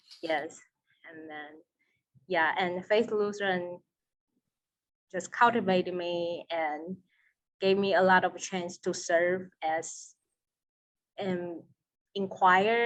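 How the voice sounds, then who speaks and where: The speech moves at a very slow pace with long, frequent pauses and big swings in loudness. It comes in a Taiwanese accent with fairly even intonation. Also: woman. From Taiwan, Taipei. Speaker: seminary student. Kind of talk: interview.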